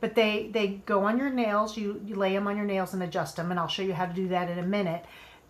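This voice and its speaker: A woman speaks at a very fast pace and medium pitch. Her intonation is fairly even, with audible room echo. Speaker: nail product sales stylist. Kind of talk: live product demo and sales pitch. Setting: livestream video.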